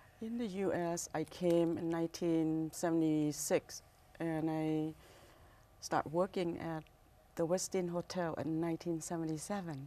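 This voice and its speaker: A woman speaks in a Thai accent at a fairly slow pace. Her intonation is monotone and flat. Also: fairly low pitch for a woman. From Thailand, Bangkok. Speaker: restaurant owner. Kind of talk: interview. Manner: halting.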